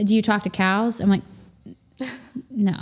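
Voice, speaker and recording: A woman speaks at a moderate pace in a somewhat breathy voice, her intonation fairly even. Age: 40s. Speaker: farmer and communications professional. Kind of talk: casual interview chat.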